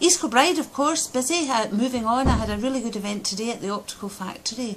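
Speaking in a Scottish accent, a woman with a high pitch and lively intonation keeps a moderate pace over light background noise. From Scotland. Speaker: Scottish parliament member. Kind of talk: video diary update. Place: office. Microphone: phone near.

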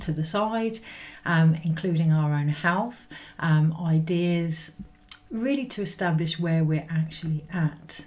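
With ordinary pitch variation, a woman speaks in a fairly low pitch at a very slow pace. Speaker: spiritual energy reader. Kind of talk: casual spiritual reading talk. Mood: calm, reflective, some laughs. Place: home room. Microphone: webcam.

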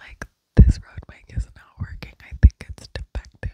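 Someone whispers at a fairly slow pace, with a dry sound with no echo and a quiet background. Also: woman. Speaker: ASMR creator. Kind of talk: whispered casual vlog chat. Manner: cupped whisper very close to mic. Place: home room. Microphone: handheld.

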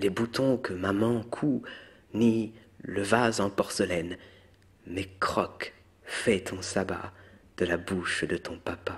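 A man with a fairly low, somewhat breathy voice speaks at a very slow pace, leaving long, frequent pauses. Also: ordinary pitch variation. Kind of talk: poetry reading; ASMR. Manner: soft-spoken.

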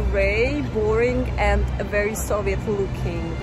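Clear music plays behind a woman whose voice shows ordinary pitch variation and sounds dry with no echo. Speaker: travel vlogger. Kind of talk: casual vlog chat. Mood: cheerful, enthusiastic. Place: street. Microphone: phone near.

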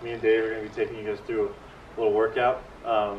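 A man's monotone, flat voice over light background noise. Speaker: workout host. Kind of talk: casual tutorial. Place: garden. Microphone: camera far.

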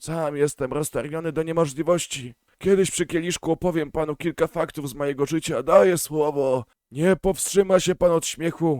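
A man puts on a hoarse character voice, pitched fairly high, at a fairly quick pace. The sound is dry and close, with no echo. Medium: read story. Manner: fast, fawning, chattering.

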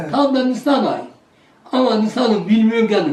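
Amid noticeable background noise, a man with a high pitch talks at a moderate pace. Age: 80s+. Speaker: village elder. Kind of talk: storytelling.

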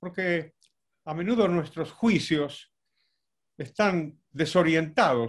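A man's very slow, fairly high-pitched voice with lively intonation, over a quiet background. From Argentina, Buenos Aires. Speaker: economist, professor; professor. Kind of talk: talk; interview answer. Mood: warm, reflective, slightly humorous. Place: home room. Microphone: video call.

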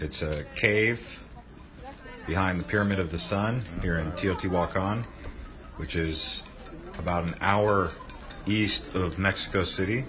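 Amid noticeable background noise, a man with a very deep, low voice speaks at a fairly slow pace, with ordinary pitch variation and long, frequent pauses. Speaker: tourist vlogger. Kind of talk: casual vlog chat. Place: tunnel cave. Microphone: phone near.

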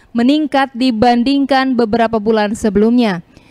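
A woman speaks with a high pitch at a moderate pace. The sound is dry and close, with no echo. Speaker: TV news reporter. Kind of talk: news reading.

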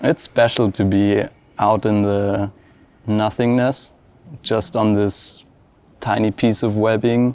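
This man's voice has a dark, mellow tone and a monotone, flat intonation. He talks at a fairly slow pace in a dry sound with no echo. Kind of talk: interview answer. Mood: calm, reflective. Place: factory.

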